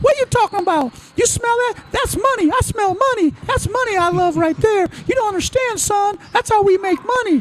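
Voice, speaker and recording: A man puts on a character voice at an extremely high pitch, in a Southern accent, with clear background noise. He keeps a moderate pace with hardly any pauses. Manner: enthusiastic, lecturing.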